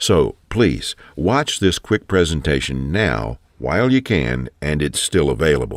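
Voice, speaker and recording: In a very clean, dry, close recording with no echo and a silent background, a man with a very deep, low pitch and vocal fry speaks at a fairly slow pace with very wide pitch swings and hardly any pauses. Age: 60s. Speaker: sales pitch narrator. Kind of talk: sales pitch.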